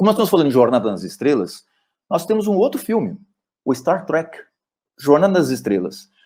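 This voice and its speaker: A man is speaking. His pitch swings very widely. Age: 60s. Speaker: neurologist. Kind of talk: lecture. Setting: webinar video call.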